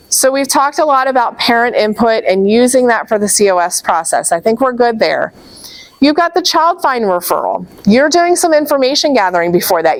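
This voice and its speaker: Over noticeable background noise, a woman talks fairly quickly in a high voice, swinging very widely in pitch while her loudness stays very even. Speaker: special education trainer. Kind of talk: training presentation.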